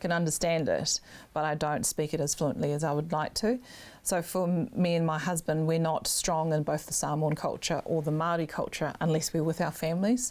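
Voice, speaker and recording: A woman's fairly low voice in a New Zealand accent, with ordinary pitch variation and very even loudness. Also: fairly quick pace. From New Zealand, Auckland North Shore. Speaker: political candidate. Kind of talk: interview.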